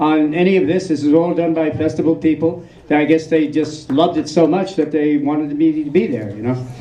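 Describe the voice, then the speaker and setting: A man with a New York accent speaks at a fairly quick pace. Noticeable background noise can be heard. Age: 60s. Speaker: film subject at festival Q&A. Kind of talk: audience Q&A. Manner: halting, many fillers and repeats.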